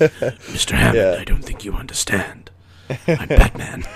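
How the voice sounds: Using a put-on character voice, a man speaks at a fairly slow pace.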